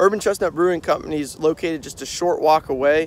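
The sound is dry with no echo as a man speaks at a fairly quick pace with ordinary pitch variation. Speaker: beer vlogger. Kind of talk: casual vlog chat. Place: open country. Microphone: phone near.

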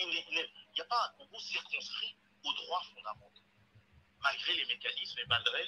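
A man talks at a fairly slow pace. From Republic of the Congo. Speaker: think tank researcher; guest. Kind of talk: televised debate. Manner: halting. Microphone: phone line.

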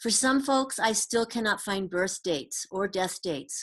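A woman talks at moderate speed, her pitch varying in an ordinary way, in a quiet background. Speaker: presenter. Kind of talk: lecture. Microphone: webcam.

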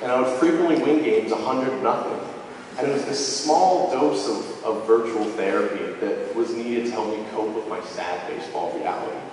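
Over light background noise and strong room echo, a man talks at a fairly quick pace. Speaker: storyteller. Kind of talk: live storytelling performance. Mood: humorous, self-deprecating. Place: hall.

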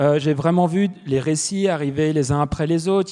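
A man talks at a moderate pace in a fairly high pitch with fairly even intonation. His tone is dark and mellow, over a quiet background. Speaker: panelist, author. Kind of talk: panel discussion. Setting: stage with audience. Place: stage. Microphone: handheld.

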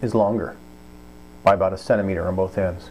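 Over light background noise, a man talks at a moderate pace with a fairly low pitch and ordinary pitch variation. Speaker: product reviewer. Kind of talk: tutorial. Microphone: phone near.

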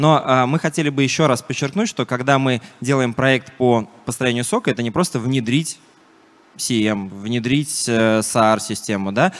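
His pace is fairly slow. The man's pitch moves with ordinary variation. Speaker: security software vendor representative. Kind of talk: conference talk. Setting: stage with audience. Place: hall. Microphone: handheld.

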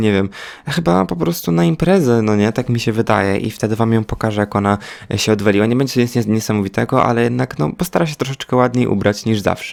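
The pace is very fast. A man talks at a medium pitch with ordinary pitch variation. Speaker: gaming youtuber. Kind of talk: gameplay commentary. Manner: animated.

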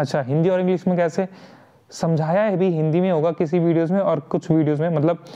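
This man has a high-pitched voice with a dark, mellow tone, fairly even intonation and very even loudness. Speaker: online tutor. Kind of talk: tutorial. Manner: casual, frequent fillers.

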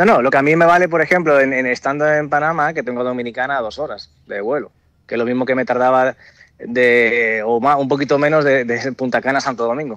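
A man at medium pitch talks very fast with ordinary pitch variation. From Dominican Republic. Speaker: airline pilot. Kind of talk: interview.

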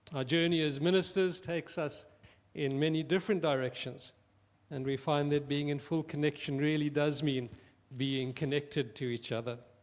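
Fairly high in pitch, a man's voice moves at a moderate pace. His intonation stays fairly even. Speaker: minister. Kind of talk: funeral address. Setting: church. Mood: solemn, condoling. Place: church. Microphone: handheld.

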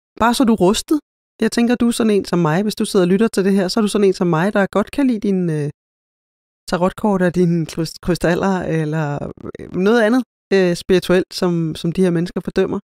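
A woman with a dark, mellow tone speaks at a moderate pace, with long, frequent pauses and ordinary pitch variation. Her loudness stays very even, and the sound is dry and close with no echo. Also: medium pitch for a woman. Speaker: podcast host, spiritual practitioner. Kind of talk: solo podcast monologue. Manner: halting, many filler sounds.

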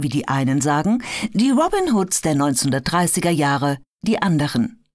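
Very slow and dramatic in tone, a woman speaks with a very deep, low pitch. Her pitch swings very wide. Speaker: audiobook narrator. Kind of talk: true-crime documentary narration, scripted audiobook excerpt read aloud. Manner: measured, dramatic, storytelling tone; clear, polished, formal delivery.

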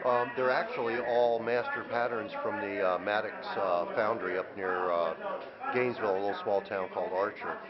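A man at a moderate pace, fairly low in pitch and fairly even in intonation, over clear background noise

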